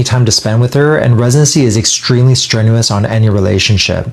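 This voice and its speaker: A man at medium pitch with ordinary pitch variation and a fairly quick pace, over noticeable background noise. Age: 30s. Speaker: doctor. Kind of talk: personal testimony.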